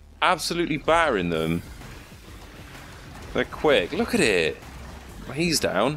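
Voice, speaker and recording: A man talks at a fairly slow pace, leaving long, frequent pauses. Music plays in the background. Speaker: gaming commentator. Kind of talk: live gameplay commentary. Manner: excitable.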